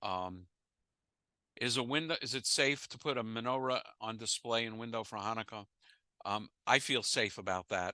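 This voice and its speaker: At a medium pitch, a man with an American accent speaks at a moderate pace in a bright, sharp tone with ordinary pitch variation. He takes long, frequent pauses, and the sound is dry and close with no echo. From United States. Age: 70s. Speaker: rabbi and former physicist leading an interfaith class. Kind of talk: lecture with audience Q&A. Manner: halting, with repetitions and fillers.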